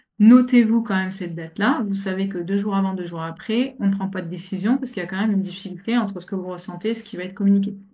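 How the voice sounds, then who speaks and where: With a dark, mellow tone and medium pitch, a woman talks at a very fast pace with hardly any pauses, sounding somewhat breathy, her intonation fairly even. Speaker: astrologer. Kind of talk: astrology forecast talk. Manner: halting, many repetitions and fillers.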